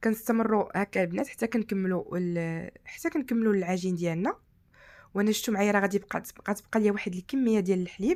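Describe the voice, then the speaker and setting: In a very clean recording with a silent background, the speaker talks at a fairly quick pace in a Moroccan accent, with ordinary pitch variation. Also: woman, medium pitch for a woman. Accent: Moroccan Arabic (Darija). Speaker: cooking channel host. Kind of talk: cooking tutorial.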